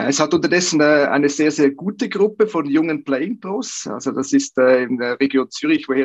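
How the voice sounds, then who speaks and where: A man with a normal speaking voice, fairly high pitch and moderate pace, in a dry, close sound with no echo. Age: 50s. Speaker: golf coach. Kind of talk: interview.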